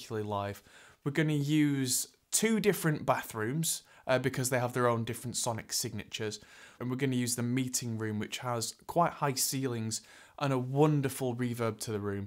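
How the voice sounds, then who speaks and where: The background stays quiet as a man talks. His pace is moderate and his pitch varies in an ordinary way. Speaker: presenter. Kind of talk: tutorial. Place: studio.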